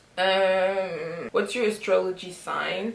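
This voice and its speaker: A woman's fairly low voice with fairly even intonation and audible room echo. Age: 20s. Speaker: vlogger. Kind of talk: casual get-to-know-me vlog. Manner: mixes French and English.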